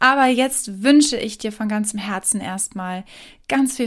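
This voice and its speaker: In a very clean recording with a silent background, a woman with a fairly high pitch speaks in a calm, soothing tone that is somewhat breathy. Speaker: meditation guide and podcast host. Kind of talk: guided meditation. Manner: slow, calm, soothing; gentle, pausing, dreamy.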